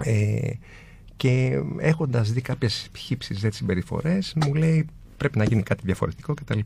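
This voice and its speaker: A man speaks at a medium pitch and a fairly slow pace in a dark, mellow, somewhat breathy tone, with very even loudness and lively intonation. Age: 40s. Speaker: design entrepreneur. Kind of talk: casual interview.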